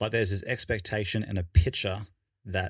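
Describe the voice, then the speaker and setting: Somewhat breathy and fairly low in pitch, a man speaks with fairly even intonation. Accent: Australian. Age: 30s. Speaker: podcast co-host. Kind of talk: casual chat. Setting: studio.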